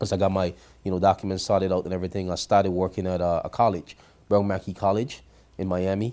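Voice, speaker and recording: A man with a Grenadian accent, very deep and low in pitch, very fast and monotone, with a dark, mellow tone. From Grenada. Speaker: credit repair business owner. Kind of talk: interview.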